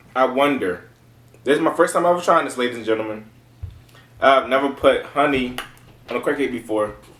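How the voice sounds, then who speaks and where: Audible room echo surrounds a voice with an American accent, speaking fairly quickly in an animated tone with ordinary pitch variation. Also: man. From Baltimore, Maryland, US. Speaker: food reviewer, YouTuber. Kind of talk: casual food review vlog. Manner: animated, repetitive. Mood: playful, joking. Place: home room. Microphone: camera far.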